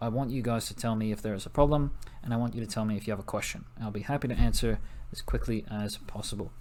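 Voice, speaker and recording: A man with an American accent talks at a very fast pace, his pitch medium and his intonation fairly even. Audible room echo surrounds his voice. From US Northeast (New Jersey). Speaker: teacher. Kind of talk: recorded class introduction lesson. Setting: recorded video for online class.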